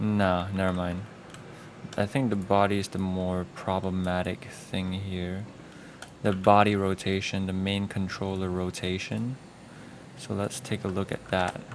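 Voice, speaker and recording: With noticeable noise behind him, a man speaks fairly slowly in a very deep, low voice with monotone, flat intonation. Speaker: animator. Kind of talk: tutorial. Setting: live stream. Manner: casual.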